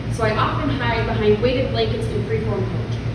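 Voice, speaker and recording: Fairly quick woman's speech in an American accent, with noticeable background noise. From US Midwest. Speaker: spoken word poet. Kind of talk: live spoken word poetry performance. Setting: live venue with audience.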